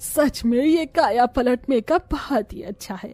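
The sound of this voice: A cartoonish character voice that sounds female speaks at a high pitch and moderate pace, with faint music in the background.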